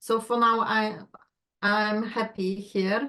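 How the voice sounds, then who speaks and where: A woman with a Polish accent speaks at a fairly high pitch with fairly even intonation. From Poland. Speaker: astrology client. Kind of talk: casual chat.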